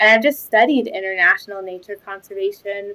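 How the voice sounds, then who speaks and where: This woman has a bright, sharp tone and an American accent. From New York City, Spanish Harlem. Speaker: ecology researcher. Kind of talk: interview. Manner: hesitant, many fillers.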